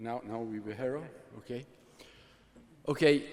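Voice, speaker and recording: A man speaks with an Italian accent and ordinary pitch variation. Audible room echo is present. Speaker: computer scientist running a university observatory. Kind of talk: conference talk. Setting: workshop presentation with slides. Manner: halting, many filler sounds.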